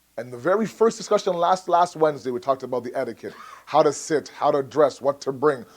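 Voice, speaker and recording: Animated and fairly quick, a man speaks with lively intonation. His pitch sits fairly high. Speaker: religious lecturer. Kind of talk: sermon. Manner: fast.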